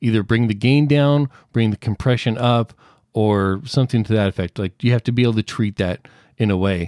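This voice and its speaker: Speaking fairly quickly with an American accent, a man uses an unremarkable speaking voice at medium pitch with ordinary pitch variation, in a dry, close sound with no echo. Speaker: audio producer and podcaster. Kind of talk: casual chat. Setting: remote call. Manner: explanatory, clear.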